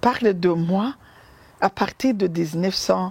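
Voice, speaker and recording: At a very slow pace, the speaker uses ordinary pitch variation in a Burundian accent. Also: woman. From Burundi, Ruyigi province. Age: 50s. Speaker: humanitarian founder. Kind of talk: testimony. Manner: hesitant, many fillers.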